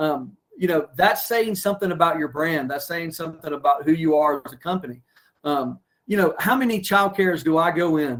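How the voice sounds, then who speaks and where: A man's fairly high voice with ordinary pitch variation, delivered at a fairly quick pace. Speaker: branding consultant and former childcare center owner. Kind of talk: webinar interview. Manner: fast; animated.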